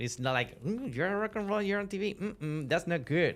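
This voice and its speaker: With a Spanish accent, a man speaks using lively intonation. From Venezuela. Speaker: musician and media host. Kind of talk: podcast interview. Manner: halting, many fillers.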